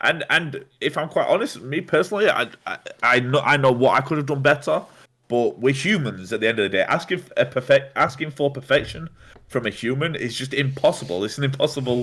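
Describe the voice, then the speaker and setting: A loud man speaks fairly quickly in a fairly high voice with a bright, sharp tone. His pitch varies in an ordinary way. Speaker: streamer. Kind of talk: casual chat.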